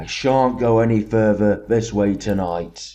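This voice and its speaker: A man speaks in a put-on character voice with a fairly low pitch. His pace is fairly slow. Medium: read story. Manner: coarse, blunt.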